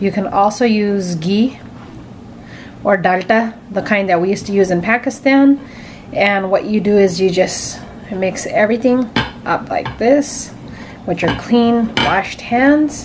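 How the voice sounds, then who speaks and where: A woman's fairly slow delivery with long, frequent pauses, ordinary pitch variation, and light background noise. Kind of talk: cooking tutorial. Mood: warm, friendly. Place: kitchen. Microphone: phone near.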